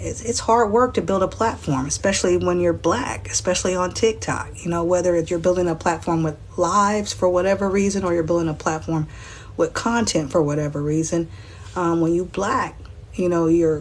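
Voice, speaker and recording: The speaker is a woman with a fairly low pitch. She talks at a moderate pace with ordinary pitch variation. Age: 40s. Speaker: livestreamer. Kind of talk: livestream monologue.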